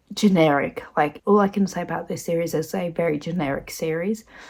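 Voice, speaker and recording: Soft-spoken and fairly low-pitched, a woman talks at a moderate pace with lively intonation in a very clean recording with a silent background. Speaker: book vlogger. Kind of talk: casual vlog talk to camera. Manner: quiet, soft-spoken to avoid waking others.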